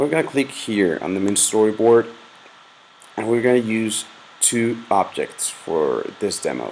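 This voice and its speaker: A man at a fairly slow pace with ordinary pitch variation, over noticeable background noise. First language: Spanish. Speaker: software tutorial maker. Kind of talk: tutorial. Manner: casual, with fillers and hesitations.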